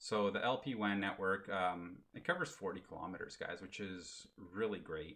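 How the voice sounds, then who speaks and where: With ordinary pitch variation, a man speaks in a very deep, low voice. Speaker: crypto YouTuber. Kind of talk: tutorial. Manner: fast; casual, animated.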